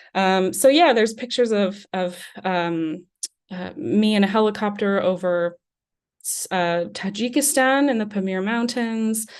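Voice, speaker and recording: The speaker has an American accent, lively intonation and big swings in loudness, at a fairly slow pace. The background is quiet. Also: woman, medium pitch for a woman. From US Southwest, New Mexico. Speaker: travel journalist. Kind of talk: lecture. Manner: hesitant, many fillers.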